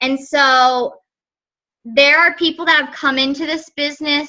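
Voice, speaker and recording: A woman with a high pitch uses a raised, projected voice and ordinary pitch variation. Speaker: fitness business coach. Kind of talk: group coaching call. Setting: conference call. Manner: casual, filler-heavy.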